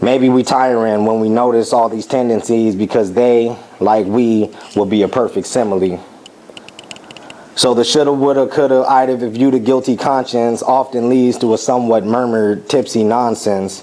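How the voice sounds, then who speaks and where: A man speaks at medium pitch. Noticeable background noise runs behind him. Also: moderate pace. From United States. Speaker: war veteran. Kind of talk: spoken word performance.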